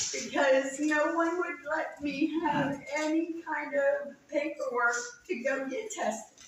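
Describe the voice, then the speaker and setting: There is audible room echo as a woman speaks at a high pitch. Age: 60s. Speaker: resident speaking at town hall. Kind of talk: testimony. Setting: town hall meeting. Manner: halting.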